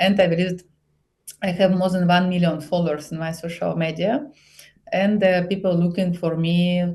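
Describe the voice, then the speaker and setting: Her tone dark and mellow and somewhat breathy, a woman talks at a moderate pace with fairly even intonation. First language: Bulgarian. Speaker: psychologist and relationship coach. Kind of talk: podcast interview. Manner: halting, broken English.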